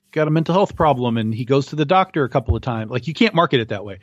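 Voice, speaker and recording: In a normal speaking voice, a man at a medium pitch uses lively intonation, and the sound is dry and close with no echo against a quiet background. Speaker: podcast co-host. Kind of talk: casual chat.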